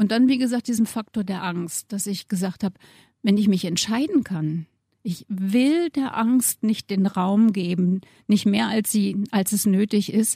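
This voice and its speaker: Somewhat breathy and dark, mellow in tone, the voice moves at a fairly slow pace with ordinary pitch variation, in a very clean recording with a silent background and a dry, close sound with no echo. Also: woman. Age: 60s. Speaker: model. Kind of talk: interview.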